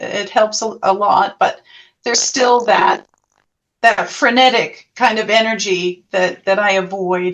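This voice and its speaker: Her intonation stays fairly even as she talks at a fairly slow pace. The woman's pitch is fairly high. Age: 60s. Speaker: past life therapist. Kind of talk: interview. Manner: halting.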